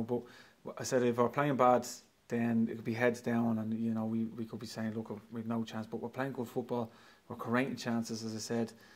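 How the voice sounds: A man speaks at a fairly quick pace, his medium pitch carrying a slightly mellow tone.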